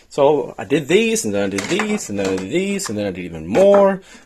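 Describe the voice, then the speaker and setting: A man's moderately paced speech comes through with noticeable noise in the background. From Sweden. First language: Swedish. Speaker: DIY maker, video host. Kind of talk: tutorial. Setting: workshop shed.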